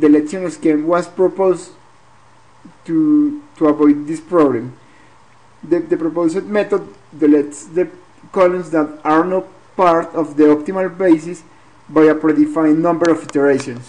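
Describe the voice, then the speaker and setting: Long, frequent pauses break up this speech delivered with a non-native accent. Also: moderate pace. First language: not English. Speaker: graduate student. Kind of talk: research presentation. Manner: halting, repeats words.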